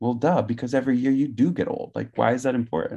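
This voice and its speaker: Very fast speech with vocal fry, in an American accent with ordinary pitch variation, comes over a quiet background. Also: man. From California (Gilroy area). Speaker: podcast guest. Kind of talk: casual interview.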